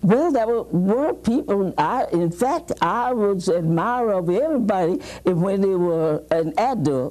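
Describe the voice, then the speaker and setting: A woman's dark, mellow voice in an American accent at a fairly slow pace, with very wide pitch swings. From Mississippi. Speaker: retired teacher. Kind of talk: interview answer. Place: studio.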